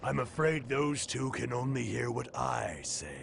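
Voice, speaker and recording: Over clear background noise, a man performs a cartoonish character voice at a fairly slow pace. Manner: smooth, condescending, persuasive.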